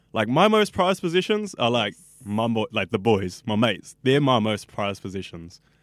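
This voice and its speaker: Talking at a very fast pace, a man with a New Zealand accent uses a medium pitch and lively intonation. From New Zealand, West Auckland. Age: 20s. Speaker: radio student. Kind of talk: casual interview. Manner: animated.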